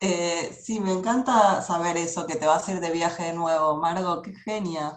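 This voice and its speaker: This woman talks at a fairly slow pace with a Rioplatense accent. Her fairly low voice keeps a fairly even intonation. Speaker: interviewer. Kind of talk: interview.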